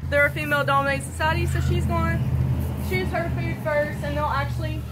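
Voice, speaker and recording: Through loud background noise, a woman talks at a fairly quick pace. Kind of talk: keeper talk to visitors. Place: open country. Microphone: camera far.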